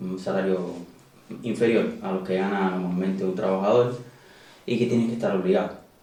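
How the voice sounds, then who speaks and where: A man's fairly low voice with ordinary pitch variation, audible room echo and noticeable background noise. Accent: Cuban. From Cuba. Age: 30s. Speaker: emigrant, hydraulic engineer. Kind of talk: interview. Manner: hesitant, many fillers.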